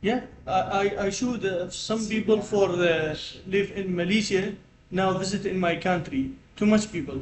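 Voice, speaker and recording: There is audible room echo around a man with a high-pitched voice. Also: ordinary pitch variation, moderate pace. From Iraq. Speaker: postgraduate student and NGO environmental worker. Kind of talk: casual conversation. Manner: halting, broken English.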